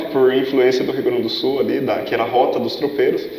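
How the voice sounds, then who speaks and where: A man is heard speaking. The recording has audible room echo and noticeable background noise. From Brazil, Piedade, São Paulo state (Sorocaba region). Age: 20s. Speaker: youth pastor / seminarian. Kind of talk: casual interview.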